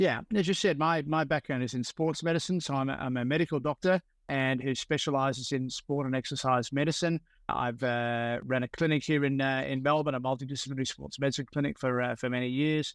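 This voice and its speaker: A man with an Australian accent, fairly high-pitched with fairly even intonation, at a fairly quick pace on a very clean, dry, close recording with a silent background and no echo. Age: 70s. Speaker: sports medicine doctor. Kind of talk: interview. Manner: halting, many fillers.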